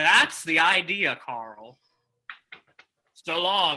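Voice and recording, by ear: A man in a put-on character voice, fairly high-pitched, with a bright, sharp tone, lively intonation and a very slow pace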